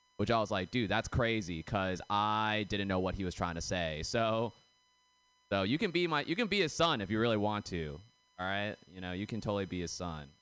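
A man with a fairly low pitch talks at a fairly quick pace with lively intonation in an ordinary speaking voice. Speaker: comedian. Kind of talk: stand-up. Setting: stage with audience.

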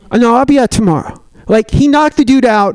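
Speaking at a fairly quick pace, a man with an extremely high pitch comes through a dry, close sound with no echo, though noticeable background noise is present. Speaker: stand-up comedian. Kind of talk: stand-up. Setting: stage with audience.

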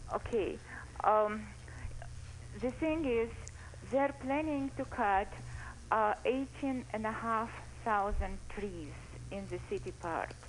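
A woman at a very slow pace, with long and frequent pauses. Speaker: caller. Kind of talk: radio call-in comment. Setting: phone call.

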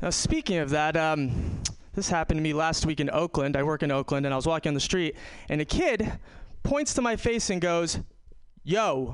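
A man with an American accent talks at a moderate pace in a plain, everyday voice. His fairly high pitch carries lively intonation over a quiet background. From New York. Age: 30s. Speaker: stand-up comedian. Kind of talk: stand-up. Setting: stage with audience.

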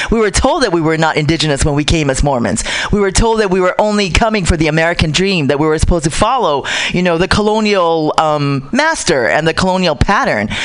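Over noticeable background noise, a woman talks at a very fast pace with lively intonation, a fairly low pitch and very even loudness. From Pacific Islands. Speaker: Pacific Islander activist. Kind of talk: casual radio talk.

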